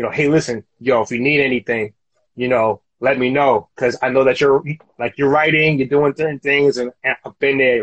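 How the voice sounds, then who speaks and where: Fairly even intonation at a fairly quick pace. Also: man. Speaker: podcast host. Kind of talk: casual chat. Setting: Instagram live video. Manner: halting, filler-heavy.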